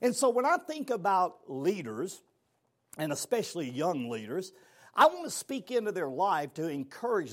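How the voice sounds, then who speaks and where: A man with a Southern US accent talks at a moderate pace in a high pitch, with very wide pitch swings. The recording is very clean, and the background is silent. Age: 60s. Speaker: motivational speaker. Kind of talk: motivational talk. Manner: animated.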